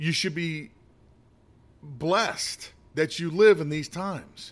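With an American accent, the speaker goes at a very slow pace with ordinary pitch variation. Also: man, fairly high pitch for a man. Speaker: political commentator. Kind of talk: opinion monologue. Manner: halting, with many fillers.

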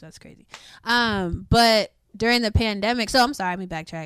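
Against a very clean recording with a silent background, a woman with an American accent speaks in a normal speaking voice at a moderate pace with ordinary pitch variation. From Baltimore, Maryland. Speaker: guest. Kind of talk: casual chat.

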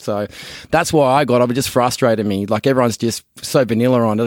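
Speaking at a very fast pace with an Australian accent, a man uses ordinary pitch variation. The sound is dry and close with no echo, on a very clean recording with a silent background. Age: 30s. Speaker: podcast co-host, business founder. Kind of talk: casual chat.

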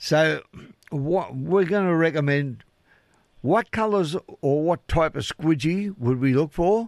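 A man with an Australian accent, fairly high in pitch with ordinary pitch variation, at a fairly slow pace with long, frequent pauses, in a very clean recording over a silent background. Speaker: radio host. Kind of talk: radio presenting, casual chat. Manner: casual, chatty.

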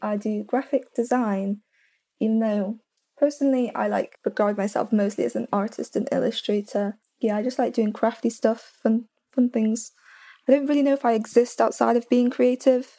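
A woman with an English accent speaks in a fairly high pitch with a dark, mellow tone and fairly even intonation. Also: moderate pace. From England. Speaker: graphic design student, podcaster. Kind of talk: casual interview chat.

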